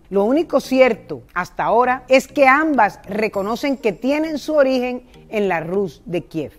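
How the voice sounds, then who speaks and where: Her voice is high-pitched, moving in very wide pitch swings as this woman speaks at a fairly slow pace. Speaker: presenter. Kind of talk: history narration to camera. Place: garden. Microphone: lapel.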